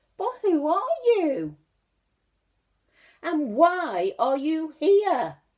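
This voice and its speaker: A woman uses a put-on character voice at an extremely high pitch with very wide pitch swings. Her pace is very slow, broken by long, frequent pauses. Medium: read story. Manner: fussy, fretful.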